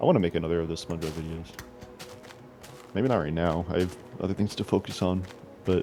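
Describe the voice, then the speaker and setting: With music in the background, a man with a very deep, low pitch talks at a very fast pace, broken by long, frequent pauses. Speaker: gaming podcast host. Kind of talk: casual chat. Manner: halting.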